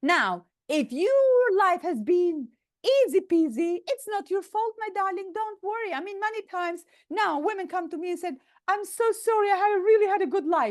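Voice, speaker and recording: The speaker has a non-native accent and talks at a moderate pace. The tone is animated and the intonation lively. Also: woman, extremely high pitch for a woman. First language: not English. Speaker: motivational speaker, entrepreneur. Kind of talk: conference talk.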